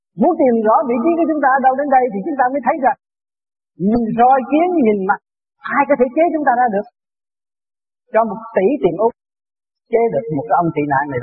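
A man with an extremely high pitch, very wide pitch swings, and long, frequent pauses. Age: 60s. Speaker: spiritual teacher. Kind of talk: dharma talk.

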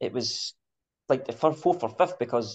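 A man speaks at a fairly quick pace with a Scottish accent. His pitch varies in an ordinary way. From Scotland. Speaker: podcast host. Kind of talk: casual chat.

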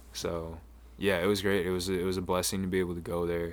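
A man speaks at a fairly quick pace. His pitch is very deep and low, with ordinary variation. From Maine. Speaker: rapper. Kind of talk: interview.

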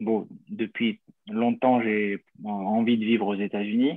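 A man's medium-pitched voice, monotone and flat, at a very slow pace with long, frequent pauses. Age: 30s. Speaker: small business owner, would-be emigrant. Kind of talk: question in live Q&A. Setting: video call.

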